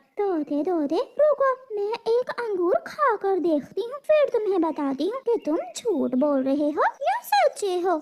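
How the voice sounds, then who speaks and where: A woman's cartoonish character voice, extremely high, with very wide pitch swings, a fairly slow pace and hardly any pauses. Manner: brisk, bargaining.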